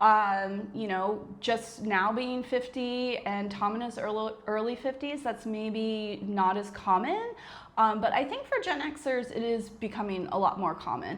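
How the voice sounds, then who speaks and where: A woman with an American accent talks with hardly any pauses in a fairly high voice with ordinary pitch variation. Noticeable background noise and audible room echo come through. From United States. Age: 40s. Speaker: retired business owner, vlogger. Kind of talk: casual chat.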